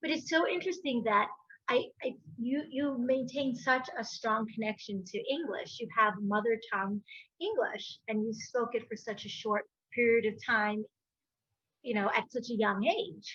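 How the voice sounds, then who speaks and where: Speaking at a moderate pace, a woman with an American accent has a fairly high pitch. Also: ordinary pitch variation. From Spanish-speaking country, raised in US from age six. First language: Spanish. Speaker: podcast host. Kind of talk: casual interview chat.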